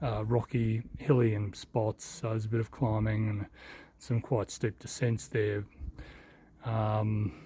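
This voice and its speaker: Somewhat breathy and dark, mellow in tone, the voice moves at a fairly slow pace with monotone, flat intonation. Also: man, fairly low pitch for a man. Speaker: walking vlogger. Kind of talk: travel vlog narration. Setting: outdoors walking. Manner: quiet; hesitant, many fillers.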